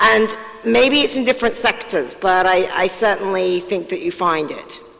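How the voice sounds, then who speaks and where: Over noticeable background noise, a woman of medium pitch talks at a moderate pace with lively intonation. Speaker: panelist. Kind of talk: panel discussion.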